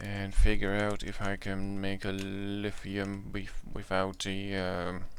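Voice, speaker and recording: Fairly low in pitch, a man speaks with a Dutch accent in a monotone, flat intonation. His pace is very slow, and the room echo is audible. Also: hardly any pauses. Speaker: gaming YouTuber. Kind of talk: gameplay commentary. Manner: halting, many fillers; casual.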